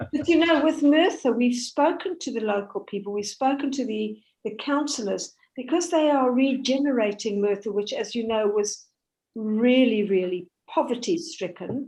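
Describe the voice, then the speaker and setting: Over a quiet background, a woman with a high pitch and a dark, mellow tone speaks at a moderate pace with lively intonation. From South Africa. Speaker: Holocaust educator and heritage charity chair. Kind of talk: talk with Q&A.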